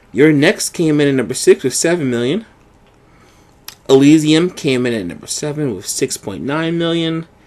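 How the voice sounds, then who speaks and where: Using a plain, everyday voice, a man speaks at a moderate pace with a fairly high pitch, lively intonation and big swings in loudness. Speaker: podcast co-host. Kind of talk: reading box office list.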